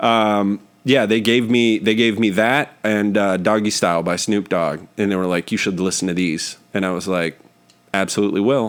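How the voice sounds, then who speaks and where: A man with an American accent and a plain, everyday voice, fairly low in pitch, at a moderate pace with fairly even intonation. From northern California, Oakland area. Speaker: podcast host, comedian. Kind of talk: casual chat.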